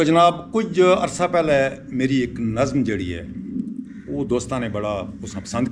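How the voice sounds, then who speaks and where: The speaker is a man at a medium pitch. His pitch swings very widely. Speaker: senior member of a nature conservation foundation. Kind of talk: greeting and introduction to camera.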